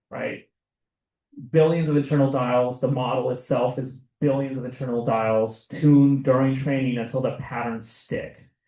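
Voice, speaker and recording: The intonation is monotone and flat. Audible room echo is present. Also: man, medium pitch for a man, moderate pace. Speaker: seminar presenter. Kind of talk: lecture.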